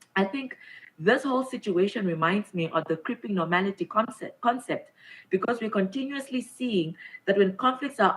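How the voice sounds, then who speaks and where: Somewhat breathy, a woman at medium pitch speaks at a fairly quick pace with lively intonation. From Namibia. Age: 20s. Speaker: government minister. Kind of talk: formal speech.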